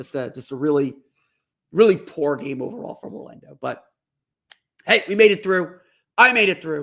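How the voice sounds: A put-on character voice from a man, hoarse and raspy, at a fairly high pitch for a man, with very wide pitch swings, a moderate pace and long, frequent pauses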